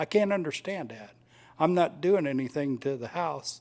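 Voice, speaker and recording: In a plain, everyday voice, a man talks at a moderate pace with ordinary pitch variation on a very clean recording with a silent background. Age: 60s. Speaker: resident speaking at public comment. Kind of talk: public comment at a city meeting. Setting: city commission meeting.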